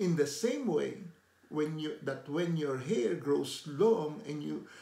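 A man with a dark, mellow tone and vocal fry talks very slowly, his pitch swinging very widely, with audible room echo around him. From Philippines. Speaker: lay preacher. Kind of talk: devotional talk to camera. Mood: warm, earnest. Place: home room. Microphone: phone near.

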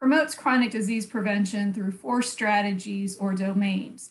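Somewhat breathy, a woman with an American accent speaks at a moderate pace and fairly high pitch with ordinary pitch variation. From USA. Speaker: public health researcher; public presenter. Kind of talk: conference presentation. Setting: online video conference. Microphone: video call.

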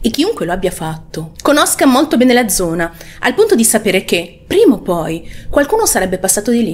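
A woman speaks at a fairly high pitch with very wide pitch swings. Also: fairly quick pace. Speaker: true crime channel host. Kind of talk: true-crime narration. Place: home room. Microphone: studio mic.

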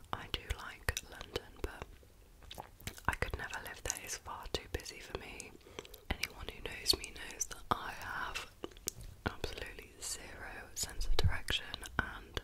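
A woman whispers with a British accent. She goes at a fairly slow pace with long, frequent pauses. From United Kingdom. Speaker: ASMR creator. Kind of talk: ASMR whisper ramble. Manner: whispered, soft-spoken. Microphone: studio mic.

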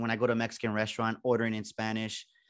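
At a fairly quick pace, a man talks with a fairly low pitch and a fairly bright tone.

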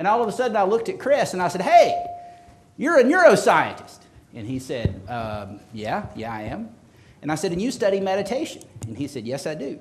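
A man with a slight Southern US accent talks at a fairly quick pace in a relaxed tone. His loudness swings widely over light background noise. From US South. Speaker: historian and professor. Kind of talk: lecture. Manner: humorous, relaxed. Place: hall.

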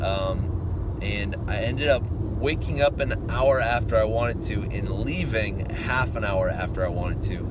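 A man speaks at a fairly slow pace. The sound is dry with no echo, over loud background noise. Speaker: math teacher vlogger. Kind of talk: casual vlog chat. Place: car. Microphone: phone near.

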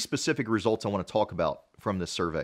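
Against a quiet background, a man speaks with vocal fry. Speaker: dental marketing consultant. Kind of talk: podcast talk to camera. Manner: casual, conversational. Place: home room.

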